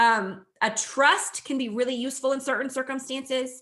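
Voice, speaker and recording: A woman's high-pitched, raised, projected voice comes across bright and sharp. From New Mexico. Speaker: agricultural lawyer. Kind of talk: webinar presentation.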